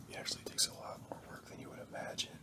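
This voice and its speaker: Whispering over noticeable background noise. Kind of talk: ASMR casual talk to camera. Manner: whispered.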